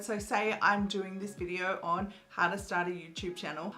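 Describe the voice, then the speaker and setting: A woman with an Australian accent, upbeat in tone, at a moderate pace. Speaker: YouTube coach. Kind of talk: tutorial. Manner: casual, upbeat.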